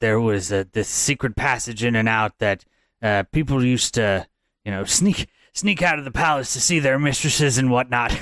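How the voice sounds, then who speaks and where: A man uses a put-on character voice at a medium pitch and a moderate pace. The recording is very clean, with a silent background. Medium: actual play. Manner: rambling, hesitant, folksy.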